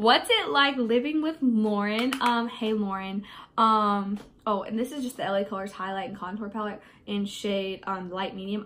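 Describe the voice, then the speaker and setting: This woman's fairly high voice moves in pitch in a normal way, with noticeable noise in the background. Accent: American. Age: 20s. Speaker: beauty vlogger. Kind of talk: get ready with me Q&A. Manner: casual, hesitant with many fillers.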